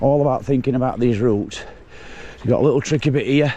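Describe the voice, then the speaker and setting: A man with ordinary pitch variation speaks at a fairly quick pace, noticeable background noise behind him. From Yorkshire, England. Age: 60s. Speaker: mountain bike vlogger. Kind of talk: casual vlog narration while riding. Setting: outdoors on a bike ride.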